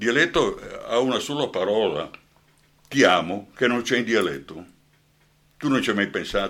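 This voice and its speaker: At a moderate pace with long, frequent pauses, a man speaks at medium pitch with lively intonation and vocal fry. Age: old. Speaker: actor and journalist. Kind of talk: radio interview. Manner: animated.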